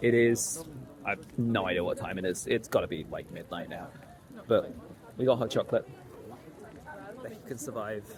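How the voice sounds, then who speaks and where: Music plays in the background as the speaker talks at a moderate pace. Long, frequent pauses and big swings in loudness mark the delivery. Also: man. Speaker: hobby sewing vlogger. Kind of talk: casual vlog.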